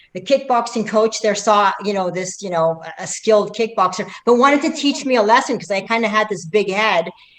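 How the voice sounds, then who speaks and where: A woman's fairly high, animated voice at a fairly quick pace, with hardly any pauses, ordinary pitch variation and noticeable background noise. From Middle East, raised in Canada. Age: 50s. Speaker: athlete. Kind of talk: interview. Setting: livestream.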